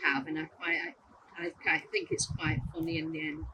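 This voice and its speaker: Speaking in a Lancashire accent, a woman makes very wide pitch swings. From northern England (Bolton, Lancashire). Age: 70s. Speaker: adoptee sharing life story. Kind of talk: testimony. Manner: halting.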